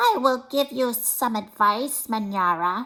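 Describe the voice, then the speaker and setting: A female-sounding voice, fairly high in pitch, drags through a put-on character voice at a very slow pace. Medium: read story. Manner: calm, solemn.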